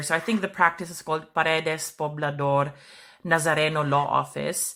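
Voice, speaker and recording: A woman with a Philippine accent speaks at a very deep, low pitch in a bright, sharp tone. Her pace is moderate and her intonation fairly even. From Philippines, Bisaya-speaking region. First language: Bisaya. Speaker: podcast host. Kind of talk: interview.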